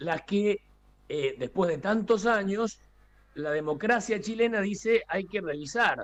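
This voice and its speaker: The man's high-pitched voice carries lively intonation. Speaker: international analyst. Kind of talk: news interview. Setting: video call.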